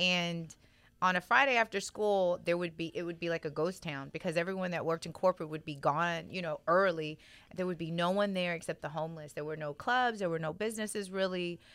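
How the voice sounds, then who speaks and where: On a very clean recording with a silent background, a woman with an American accent speaks at a fairly quick pace in a fairly low pitch with ordinary pitch variation. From Texas (Central Texas, then Houston). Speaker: podcast host. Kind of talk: casual interview chat.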